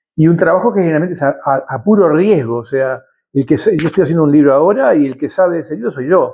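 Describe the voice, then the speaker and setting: A man talking at a very fast pace, fairly high in pitch, with lively intonation and a dark, mellow tone. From Uruguay, Montevideo (Carrasco). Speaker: writer and journalist. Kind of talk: interview conversation.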